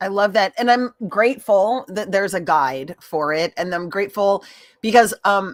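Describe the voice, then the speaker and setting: In an ordinary speaking voice, a woman talks at a medium pitch and moderate pace with lively intonation, the sound dry and close with no echo. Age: 50s. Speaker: live stream host. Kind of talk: casual chat. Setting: live stream.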